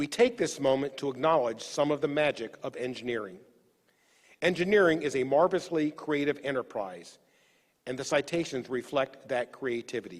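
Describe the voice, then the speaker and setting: Lively in intonation, a man with an American accent and an unremarkable speaking voice talks at a fairly high pitch and a moderate pace. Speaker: executive officer of engineering academy. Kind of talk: formal ceremony speech. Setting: virtual online ceremony. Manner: formal.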